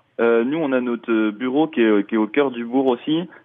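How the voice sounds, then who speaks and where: At a fairly slow pace, a man speaks with a medium pitch. His pitch variation is ordinary. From Mayenne, France. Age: 20s. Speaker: festival programmer. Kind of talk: radio interview. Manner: halting.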